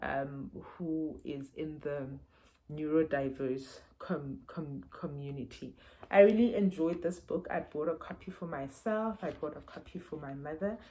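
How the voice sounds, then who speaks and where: A woman's very deep, low voice with a dark, mellow tone, at a fairly slow pace and with ordinary pitch variation. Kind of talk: book review vlog. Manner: halting, many fillers and repeats.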